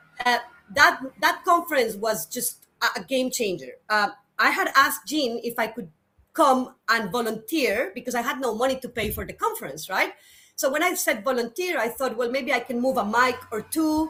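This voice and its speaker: Her voice is high, with lively intonation. The woman keeps a moderate pace. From Colombia. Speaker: climate adaptation specialist. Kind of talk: interview. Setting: studio.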